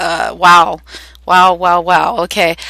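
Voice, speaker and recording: With a Canadian accent, a woman speaks at a fairly low pitch in a bright, sharp tone. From Canada. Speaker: spiritual teacher. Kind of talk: guided meditation talk. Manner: hesitant, many fillers.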